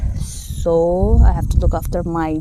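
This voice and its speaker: A woman speaks with audible room echo. Noticeable background noise sits behind her voice. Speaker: vlogger and nurse. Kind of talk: casual Q&A vlog. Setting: outdoors in a paddy field. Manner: halting, many fillers.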